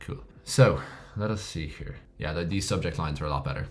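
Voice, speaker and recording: A man's very deep, low voice with an Irish accent, lively intonation and vocal fry, plus audible room echo. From Ireland. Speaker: email marketing instructor. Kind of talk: tutorial. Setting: screen recording with laptop. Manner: casual, conversational.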